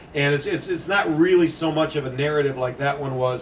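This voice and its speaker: A man with an American accent at a fairly high pitch, fairly quick pace and ordinary pitch variation, over noticeable background noise. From Indiana, USA. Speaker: ghost story author. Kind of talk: public talk.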